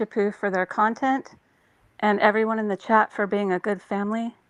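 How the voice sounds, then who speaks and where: The voice shows ordinary pitch variation. The sound is dry and close, with no echo. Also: woman, quiet background. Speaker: caller joining a live stream show. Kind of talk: casual chat.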